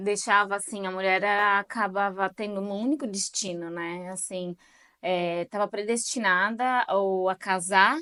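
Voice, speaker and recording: This woman's voice has a bright, sharp tone at a medium pitch, set against a quiet background. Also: fairly even intonation, fairly slow pace. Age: 30s. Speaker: channel host, interviewer. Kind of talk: casual interview. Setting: video recording with her mother.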